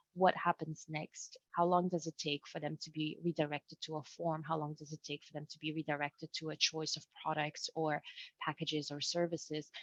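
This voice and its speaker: A woman with a non-native accent and a very deep, low pitch talks fairly quickly in a monotone, flat way, her loudness swinging widely, in a dry, close sound with no echo. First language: not English. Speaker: webinar presenter. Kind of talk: webinar presentation. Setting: video call. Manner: halting.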